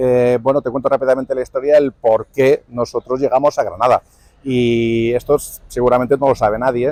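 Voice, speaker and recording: A man's dark, mellow voice at medium pitch, flat and monotone, at a moderate pace, with a dry, close sound and no echo. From Spain, Villena (Alicante). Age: 60s. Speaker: musician. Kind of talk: interview. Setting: outdoors. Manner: halting.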